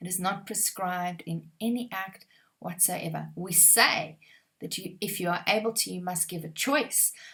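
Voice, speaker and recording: A woman's bright, sharp voice at medium pitch with an Afrikaans accent, at a moderate pace and with ordinary pitch variation. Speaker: exam prep trainer. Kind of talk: tutorial. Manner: conversational, uses fillers.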